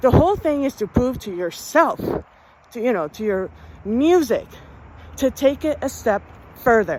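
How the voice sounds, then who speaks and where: At a fairly slow pace, a woman with a high pitch speaks in an animated tone with lively intonation. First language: Spanish. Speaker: music podcast host. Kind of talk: monologue to listeners.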